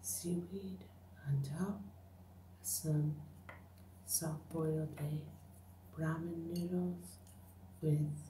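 A woman speaks very slowly at a very deep, low pitch, with very wide pitch swings and long, frequent pauses. Light background noise and audible room echo can be heard. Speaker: ASMR eating creator. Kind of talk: ASMR eating video, casual talk to camera. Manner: whispered, soft-spoken. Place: home room. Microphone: phone near.

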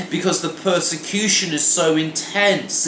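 The man's voice sits at a high pitch. Audible room echo and light background noise are present. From Wales. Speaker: pastor. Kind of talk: devotional sermon to camera. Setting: home kitchen. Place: kitchen. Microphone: phone near.

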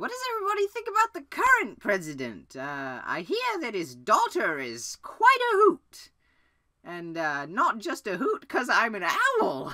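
A put-on character voice delivers the lines at a moderate pace. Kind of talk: comedy sketch. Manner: rambling, hesitant.

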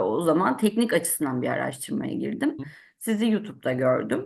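Over a quiet background, a woman's voice has vocal fry and very wide pitch swings. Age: 30s. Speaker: civil servant, trading student. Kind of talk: testimony.

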